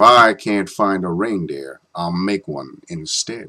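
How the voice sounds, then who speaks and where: A man's growling, put-on character voice, fairly low in pitch, at a fairly slow pace with lively intonation. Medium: read story. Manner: snarling, sneering.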